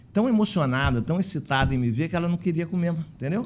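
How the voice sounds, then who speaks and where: A man talking at a very fast pace, with lively intonation. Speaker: physician and elder-care facility manager, union president. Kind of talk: podcast interview.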